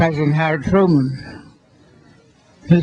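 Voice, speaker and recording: A man with a fairly high pitch speaks at a moderate pace, noticeable background noise behind him. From US Virgin Islands, St. Croix. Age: 80s+. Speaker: centenarian. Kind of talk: speech at birthday celebration. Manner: halting.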